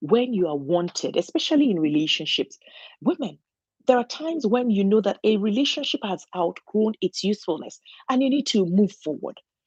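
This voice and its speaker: Against a quiet background, a woman with a non-native accent speaks at a moderate pace and medium pitch, her pitch swinging very widely, with a dry, close sound and no echo. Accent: noticeable foreign. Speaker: registered nurse and channel host. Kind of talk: motivational talk. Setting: solo home recording. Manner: halting, with frequent fillers and restarts.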